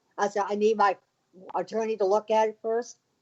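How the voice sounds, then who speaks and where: Recorded dry and close with no echo, a woman talks at a fairly high pitch. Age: 50s. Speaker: screenwriter. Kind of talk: interview.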